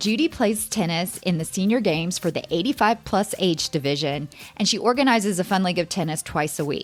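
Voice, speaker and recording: A woman in an ordinary speaking voice talks at a fairly quick pace with hardly any pauses. Her pitch is medium, and her intonation is lively. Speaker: podcast host. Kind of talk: podcast interview question.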